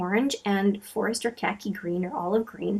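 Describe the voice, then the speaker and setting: The voice is a woman's, fairly high in pitch and somewhat breathy. She talks at a moderate pace with ordinary pitch variation. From Canada, Manitoba (Franco-Manitoban). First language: French. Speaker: beauty vlogger. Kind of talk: casual chat. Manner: hesitant, many fillers.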